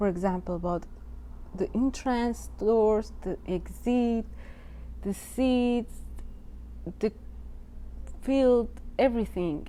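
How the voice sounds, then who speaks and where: This woman speaks at a very slow pace. Her words are broken by long, frequent pauses. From Iran, Tehran. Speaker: artist. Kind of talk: artist talk about own work. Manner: halting.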